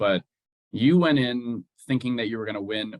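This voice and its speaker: Using an unremarkable speaking voice, a man at medium pitch talks at a fairly quick pace with ordinary pitch variation. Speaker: fencing interviewer. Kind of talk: interview questions.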